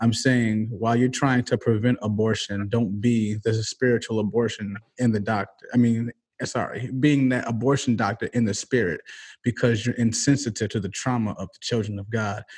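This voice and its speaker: Somewhat breathy and flat in intonation, a man speaks in a monotone with an American accent, recorded very cleanly over a silent background. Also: medium pitch for a man, moderate pace. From Michigan, US. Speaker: guest. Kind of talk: casual chat.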